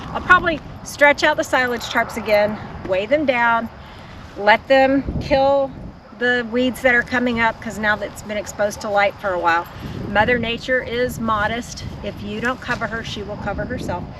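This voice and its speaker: With a Texan accent and a fairly high pitch, a woman talks at a moderate pace with ordinary pitch variation against noticeable background noise. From Texas. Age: 60s. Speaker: homesteader. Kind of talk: video tour narration. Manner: casual.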